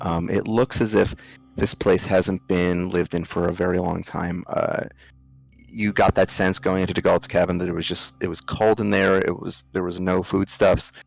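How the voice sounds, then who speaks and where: Music plays in the background as a man with an American accent and a very deep, low pitch speaks at a moderate pace, the sound dry and close with no echo. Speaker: game master of a tabletop role-playing game. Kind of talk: narration of a tabletop role-playing game. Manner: hesitant, many ums.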